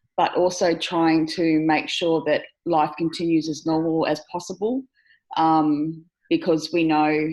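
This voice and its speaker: A woman's fairly low-pitched voice with an Australian accent and fairly even intonation. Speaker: aged care worker. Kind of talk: video call discussion. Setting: video call.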